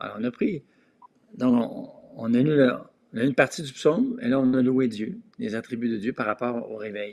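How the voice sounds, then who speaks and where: A man speaks at medium pitch and a moderate pace, his pitch varying in an ordinary way. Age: 60s. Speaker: pastor. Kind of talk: discussion on prayer.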